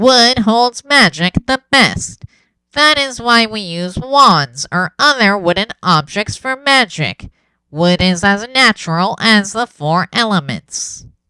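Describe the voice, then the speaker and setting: In a put-on character voice, a woman speaks at a medium pitch with very wide pitch swings. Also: fairly slow pace, dry, close sound with no echo. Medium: read story. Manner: prompt, earnest.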